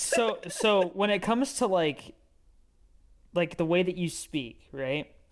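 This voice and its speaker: A man with a high voice talks fairly slowly, his intonation lively. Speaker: podcast co-host. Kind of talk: casual chat. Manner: slurred, does not always enunciate.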